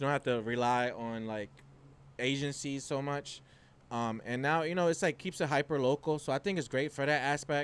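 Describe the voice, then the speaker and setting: This man's voice sits fairly high in pitch and has ordinary pitch variation. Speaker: business owner and content creator. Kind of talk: casual interview. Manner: fast.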